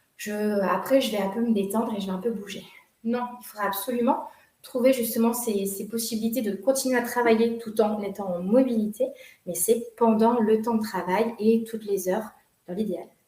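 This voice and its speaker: A woman's normal speaking voice, fairly high in pitch, at a moderate pace with fairly even intonation and big swings in loudness. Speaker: workshop leader on workplace wellbeing. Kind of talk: online workshop presentation. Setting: video call.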